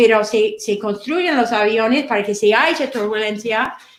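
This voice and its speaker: The delivery moves at a moderate pace with ordinary pitch variation. Room echo is audible. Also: woman. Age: 60s. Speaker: financial advisor. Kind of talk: online seminar. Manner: halting, many repetitions.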